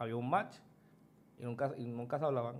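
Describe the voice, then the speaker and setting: A man's medium-pitched voice is heard with audible room echo around it. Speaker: podcast guest. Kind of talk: casual chat.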